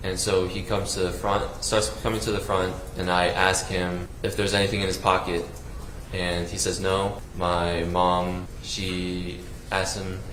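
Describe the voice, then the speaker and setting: A man with an American accent speaks at a very deep, low pitch in a monotone, flat intonation at a fairly slow pace. Music plays in the background, with audible room echo. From US South, South Carolina. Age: 20s. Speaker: trial witness. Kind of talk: testimony. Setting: courtroom. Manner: halting.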